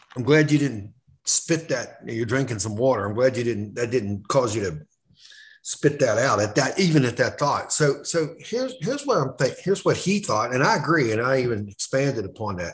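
A somewhat breathy man speaks at medium pitch and a moderate pace with lively intonation. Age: 50s. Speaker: sports journalist. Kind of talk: casual chat.

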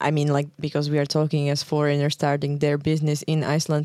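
In a Slovak accent, a woman speaks at a very fast pace with a very deep, low pitch and a dark, mellow tone. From Slovakia. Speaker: podcast host. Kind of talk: interview. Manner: hesitant, many fillers.

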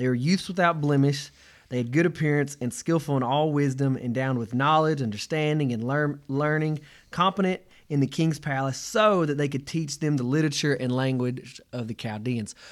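A man with a plain, everyday voice speaks at a fairly high pitch with ordinary pitch variation, on a very clean recording with a silent background. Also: moderate pace. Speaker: podcast co-host. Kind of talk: casual chat.

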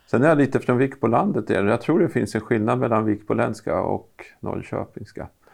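A man at medium pitch, with vocal fry and ordinary pitch variation, at a moderate pace. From Östergötland, Norrköping area. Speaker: university vice-chancellor, podcast co-host. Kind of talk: casual interview chat.

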